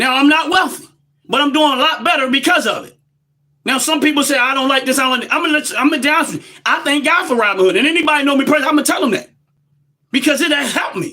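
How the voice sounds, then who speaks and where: A man with an American accent and extremely high pitch, his raised, projected voice very fast, passionate, bright and sharp, with big swings in loudness and ordinary pitch variation. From United States. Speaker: livestream commentator. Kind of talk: live-stream monologue. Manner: loud, passionate.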